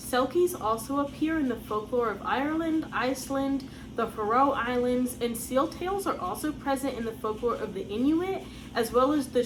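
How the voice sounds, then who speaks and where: The speaker, with an American accent, uses lively intonation at a moderate pace, with audible room echo and noticeable background noise. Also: woman. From United States. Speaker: folklore channel host. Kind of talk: scripted narration.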